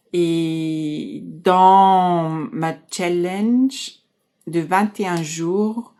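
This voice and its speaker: A woman speaks at a very slow pace in a fairly low pitch with ordinary pitch variation. Her tone is dark and mellow. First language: German (speaking French). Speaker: life coach. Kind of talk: casual talk to camera. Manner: halting.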